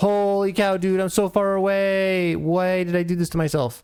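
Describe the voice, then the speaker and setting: A man's high-pitched voice. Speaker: gaming streamer. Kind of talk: live gameplay commentary. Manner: mumbles when reading chat; halting, many fillers.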